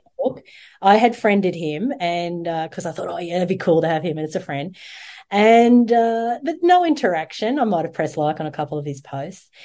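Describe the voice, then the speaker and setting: Over a quiet background, a woman in an Australian accent speaks at a moderate pace with a fairly low pitch, a dark, mellow tone and lively intonation. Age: 40s. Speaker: yoga teacher and online show host. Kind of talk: casual interview chat.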